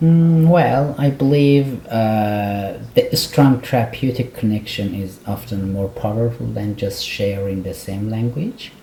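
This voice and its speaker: With an Iranian accent, a man speaks at a fairly slow pace and medium pitch, with ordinary pitch variation and hardly any pauses, against noticeable background noise. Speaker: clinical psychologist. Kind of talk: interview.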